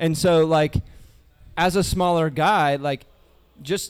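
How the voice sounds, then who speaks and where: A man speaks in a normal speaking voice, fairly high-pitched, with ordinary pitch variation. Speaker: golf coach. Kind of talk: live Q&A panel. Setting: outdoor porch with live audience.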